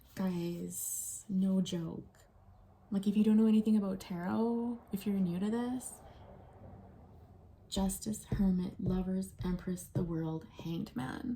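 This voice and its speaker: A soft-spoken woman talks very slowly with long, frequent pauses in a somewhat breathy voice of dark, mellow tone. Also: medium pitch for a woman, ordinary pitch variation. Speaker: tarot reader. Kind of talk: tarot reading video. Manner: quiet.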